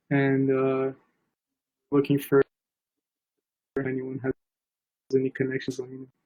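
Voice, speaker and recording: A man's fairly high-pitched voice has a dark, mellow tone and a moderate pace, recorded dry and close with no echo. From Brazil. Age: 20s. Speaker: aviation photographer and student. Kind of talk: casual interview chat. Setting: live stream.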